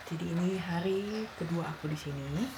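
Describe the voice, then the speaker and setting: A woman speaks in a fairly low pitch. Noticeable background noise runs behind her. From Indonesia. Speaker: travel vlogger. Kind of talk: casual talk to camera. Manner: soft-spoken, slow.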